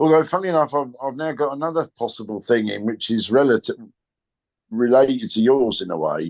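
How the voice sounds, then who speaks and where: Speaking with a British accent and lively intonation, a man talks at a medium pitch. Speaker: comedian. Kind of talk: interview answer.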